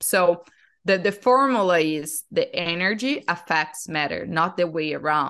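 A woman with a Portuguese accent speaks at a fairly slow pace, her fairly low voice carrying lively intonation. The background is quiet. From Brazil. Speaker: breathwork facilitator. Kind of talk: casual interview.

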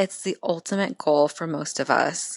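A woman speaks at a fairly slow pace with ordinary pitch variation. The background is quiet and the sound dry and close with no echo. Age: 20s. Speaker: professional bikini competitor. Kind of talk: casual interview.

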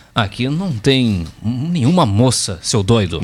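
A man uses a booming, put-on character voice. He speaks at a fairly slow pace in a medium pitch. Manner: mocking, annoyed.

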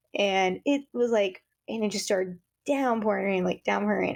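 A woman with an American accent speaks at medium pitch and a moderate pace, with ordinary pitch variation and an unremarkable speaking voice. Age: 30s. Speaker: podcast co-host. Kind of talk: casual chat. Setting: video call.

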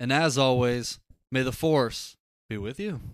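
A man speaks at a medium pitch with ordinary pitch variation, in a plain, everyday voice. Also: very clean recording, silent background. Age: 20s. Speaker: podcast co-host. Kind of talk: casual chat. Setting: livestream.

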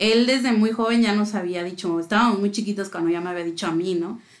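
Lively intonation marks the delivery. It is an ordinary speaking voice. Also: woman. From Mexico City. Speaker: music fan guest. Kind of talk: casual chat.

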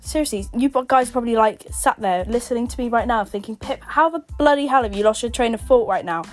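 Over music in the background, a woman with an English accent and a fairly high pitch talks at a very fast pace with hardly any pauses and ordinary pitch variation. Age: 20s. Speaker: podcast host. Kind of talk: casual chat.

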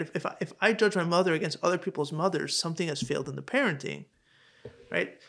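A very fast-talking man with a high pitch and ordinary pitch variation, on a very clean recording with a silent background. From Hong Kong. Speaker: podcast host. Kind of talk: casual interview. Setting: in-person recording in Crown Heights. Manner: halting, many repeated words.

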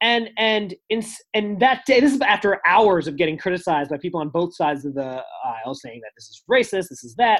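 A man with a high pitch, an American accent, a fairly quick pace, very wide pitch swings and big swings in loudness. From United States. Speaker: journalist and stand-up comedian. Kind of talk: interview.

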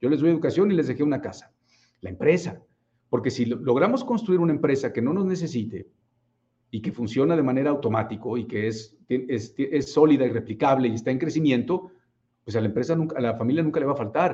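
A man talks at a fairly quick pace and a fairly high pitch with lively intonation. His tone is dark and mellow, somewhat breathy. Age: 40s. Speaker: business coach. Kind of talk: livestream talk. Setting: live stream.

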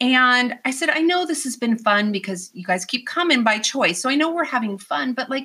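Her voice is high-pitched, with a bright, sharp tone and very wide pitch swings. The woman keeps a moderate pace on a very clean recording with a silent background. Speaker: youth empowerment coach. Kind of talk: casual interview chat. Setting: studio. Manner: animated, loud, talkative.

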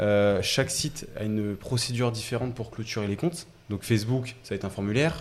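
A man speaks at a fairly quick pace in a medium pitch. It is a plain, everyday voice with ordinary pitch variation. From Paris region, Essonne. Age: 20s. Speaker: startup co-founder. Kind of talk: casual interview chat.

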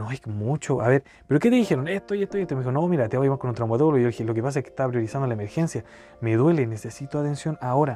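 A man with a Chilean accent speaks at a very fast pace, with a medium pitch and a dark, mellow tone. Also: ordinary pitch variation. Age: 20s. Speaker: podcast host. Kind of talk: personal storytelling monologue. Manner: casual, colloquial.

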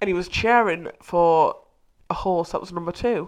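A woman speaks with lively intonation. Her pitch sits in the medium range. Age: 20s. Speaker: podcast co-host. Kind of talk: casual chat. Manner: animated.

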